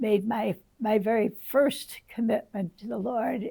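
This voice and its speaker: A woman speaks at a fairly high pitch with a dark, mellow tone. Vocal fry runs through her voice. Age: 80s+. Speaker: retired church ministry worker, home Bible study leader. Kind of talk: interview answer.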